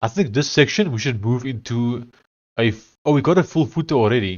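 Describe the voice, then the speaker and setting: A man speaks with an Afrikaans accent at a medium pitch. His pace is fairly quick. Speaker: live streamer and programmer. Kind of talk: casual live stream commentary. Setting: live stream. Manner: halting.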